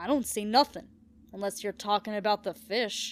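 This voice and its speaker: A woman growls in a put-on character voice at a medium pitch and a moderate pace. The sound is dry and close, with no echo. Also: very clean recording, silent background. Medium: read story. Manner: gruff, plain-spoken.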